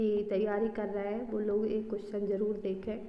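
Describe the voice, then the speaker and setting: Fairly high-pitched female voice with audible room echo and noticeable background noise. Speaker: exam prep teacher. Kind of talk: tutorial.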